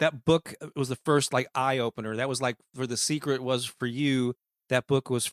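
A man with a Midwestern American accent talks at a moderate pace with fairly even intonation on a very clean recording with a silent background. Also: dry, close sound with no echo. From US Midwest, St. Louis, Missouri. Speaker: author and music marketing coach. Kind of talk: interview conversation.

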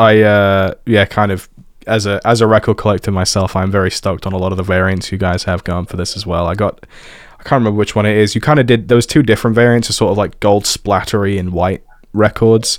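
This man talks at a very fast pace, his fairly low voice keeping a fairly even intonation. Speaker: music podcast host. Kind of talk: casual interview.

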